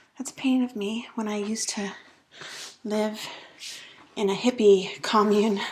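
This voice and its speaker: A woman's fairly high-pitched voice, monotone and flat, at a moderate pace with long, frequent pauses, over noticeable background noise. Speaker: lifestyle vlogger. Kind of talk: casual house tour vlog. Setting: at home, walking through house. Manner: quieter while child naps upstairs.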